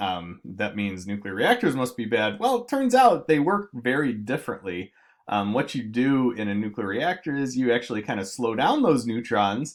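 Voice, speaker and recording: Lively male intonation in a very clean recording with a silent background. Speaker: chemistry teacher. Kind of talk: lecture. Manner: fast; many fillers, halting.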